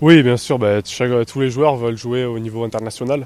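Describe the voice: A man talks at a fairly quick pace with a slightly mellow tone. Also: medium pitch for a man, ordinary pitch variation.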